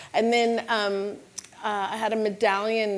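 Speaking at a very slow pace, a woman has a Californian accent. Her delivery is unhurried throughout. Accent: Californian American. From US West Coast, San Francisco Bay Area. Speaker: costume designer. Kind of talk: panel discussion. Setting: stage with audience. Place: stage.

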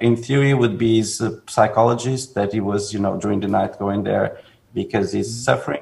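With ordinary pitch variation, a man speaks with vocal fry. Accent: Portuguese. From Portugal. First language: Portuguese. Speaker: film director; guest. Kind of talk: interview. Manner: halting. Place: home room. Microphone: video call.

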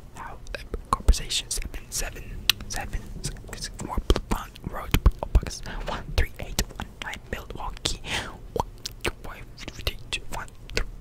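Someone whispers at a fairly slow pace with long, frequent pauses. There is noticeable background noise. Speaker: ASMR creator. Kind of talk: ASMR whispered reading. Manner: whispered.

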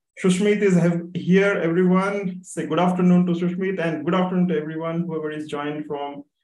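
The man talks at a fairly quick pace, and room echo is audible. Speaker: webinar host. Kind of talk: speaker introduction. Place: home room. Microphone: video call.

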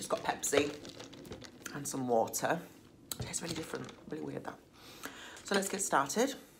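Against noticeable background noise, a woman speaks fairly quickly. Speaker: mukbang vlogger. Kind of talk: casual vlog chat. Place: home room. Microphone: phone near.

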